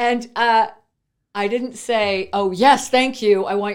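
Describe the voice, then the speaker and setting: On a very clean recording with a silent background, a woman speaks at a moderate pace in a fairly high, ordinary speaking voice. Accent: Canadian. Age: 50s. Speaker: entrepreneur. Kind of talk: interview.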